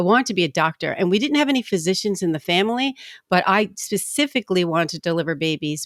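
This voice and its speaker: A woman with a New Jersey accent talks very fast at a medium pitch, in a very clean, dry, close recording with a silent background and no echo. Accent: East Coast, New Jersey. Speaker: commercial title insurance rep, former attorney. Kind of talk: podcast interview.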